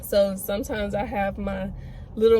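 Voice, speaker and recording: A woman's fairly slow speech with audible room echo. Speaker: pregnancy vlogger and cosmetologist. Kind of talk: casual vlog talk to camera. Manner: monotone; hesitant, many fillers.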